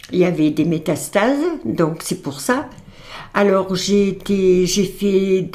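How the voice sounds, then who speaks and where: A woman speaks at a very slow pace. Her voice sits at medium pitch with a dark, mellow tone. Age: 80s+. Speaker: cancer survivor, grandmother of host. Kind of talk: testimony. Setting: podcast interview. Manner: halting.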